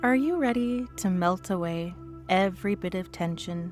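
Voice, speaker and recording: Music plays in the background as the speaker talks at a very slow pace with lively intonation. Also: woman. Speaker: hypnotist. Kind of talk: guided hypnosis session. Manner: slow, rhythmic.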